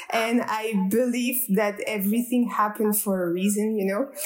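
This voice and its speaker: With a French accent, a woman speaks at a moderate pace. Her pitch is fairly high and her intonation fairly even. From France, Strasbourg (east). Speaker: naturopath. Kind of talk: interview. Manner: halting.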